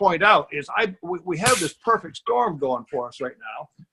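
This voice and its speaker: In a raised, projected voice, a man speaks at a moderate pace with a high pitch and a bright, sharp tone, the sound dry and close with no echo. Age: 70s. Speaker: business opportunity presenter. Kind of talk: sales pitch. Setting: video call. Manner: animated.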